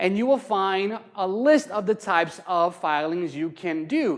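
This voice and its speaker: A man with an American accent speaks loud and at a high pitch, with very wide pitch swings. His pace is fairly slow, on a very clean recording with a silent background. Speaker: county assessor's office outreach specialist. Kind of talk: public workshop presentation. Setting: hall with live audience.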